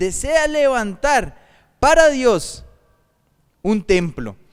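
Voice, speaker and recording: A very slow pace with very wide pitch swings. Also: man. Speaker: pastor. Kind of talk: sermon.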